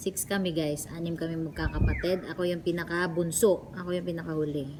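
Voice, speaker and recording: A very deep, low female voice, monotone and flat, at a fairly slow pace with audible room echo and noticeable background noise. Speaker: vlogger. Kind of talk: casual vlog Q&A.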